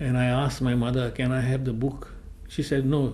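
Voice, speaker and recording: A medium-pitched man at a moderate pace, monotone and flat, with audible room echo. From Goa, India. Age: 80s+. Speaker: oral history interviewee. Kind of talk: oral history testimony.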